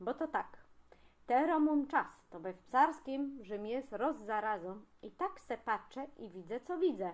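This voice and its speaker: A woman with a Greater Poland accent speaks very slowly, her pitch swinging very widely. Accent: Greater Poland regional dialect. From Pniewy area, Greater Poland. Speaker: regional dialect enthusiast. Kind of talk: humorous casual monologue to camera.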